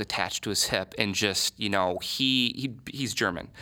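A man with an American accent talks at a moderate pace in a bright, sharp tone with lively intonation, on a very clean recording with a silent background. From Michigan. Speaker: advertising agency owner. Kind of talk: interview.

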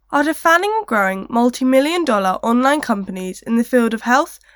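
Her voice sits high, with ordinary pitch variation. The woman speaks at a fairly quick pace. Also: very clean recording, silent background. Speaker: podcast co-presenter. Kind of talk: scripted narration.

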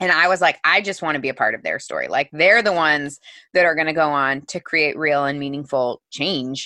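A woman's very deep, low voice with a bright, sharp tone and a Midwestern American accent, at a fairly quick pace with ordinary pitch variation, in a dry, close sound with no echo and a quiet background. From US Midwest, Missouri. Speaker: author and entrepreneur. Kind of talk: interview.

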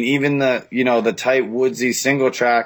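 Speaking with a Boston accent, a man goes at a fairly slow pace with a medium pitch and fairly even intonation. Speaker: motocross track operator. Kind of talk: casual chat. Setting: remote call.

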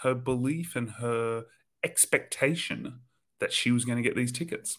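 This is a normal speaking voice at a moderate pace. The recording is very clean, with a silent background. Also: man. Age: 40s. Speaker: spiritual teacher. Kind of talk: casual chat.

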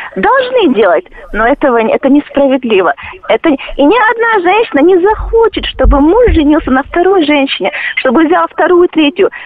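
Noticeable background noise sits behind a woman speaking at a moderate pace with an extremely high pitch. Her pitch swings very wide while her loudness stays very even. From Chechnya. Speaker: caller. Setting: phone call.

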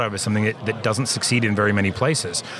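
A man with an American accent speaks at a fairly low pitch with fairly even intonation. Room echo is audible, and background noise is noticeable. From California, Central Valley. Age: 40s. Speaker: winemaker. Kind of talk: casual interview. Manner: halting.

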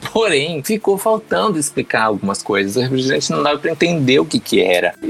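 Very wide pitch swings from a man, with music behind him. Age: 30s. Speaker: drag queen and cosplayer. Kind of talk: casual chat.

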